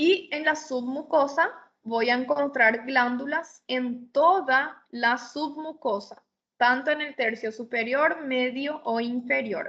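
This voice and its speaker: A woman's high-pitched voice at a very slow pace. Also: ordinary pitch variation. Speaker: histology lecturer. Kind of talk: lecture.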